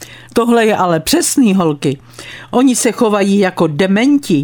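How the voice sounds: The clip features a natural reading voice whose intonation is lively.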